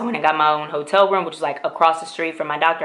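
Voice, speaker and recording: Here a woman is talking. Her pitch is fairly low. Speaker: beauty and lifestyle vlogger. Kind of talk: casual vlog talk to camera.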